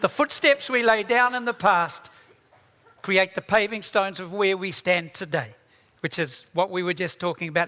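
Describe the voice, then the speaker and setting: A raised, projected man's voice, high-pitched, bright and sharp, with lively intonation at a moderate pace. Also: dry, close sound with no echo. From New Zealand, East Coast of the North Island (Māori). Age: 70s. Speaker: keynote speaker, tech entrepreneur. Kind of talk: conference talk. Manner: casual, humorous.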